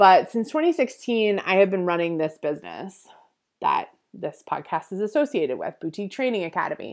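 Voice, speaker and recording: A woman speaks at a fairly quick pace in a medium pitch, her voice swinging very widely up and down, on a very clean recording with a silent background. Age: 30s. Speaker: podcast host and boutique business consultant. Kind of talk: solo business coaching talk. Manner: animated.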